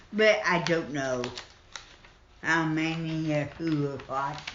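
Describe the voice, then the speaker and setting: A woman talks at a fairly slow pace with an American accent. Background noise is noticeable. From Southern Illinois and Southern Indiana. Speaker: retired nurse. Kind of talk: interview answer.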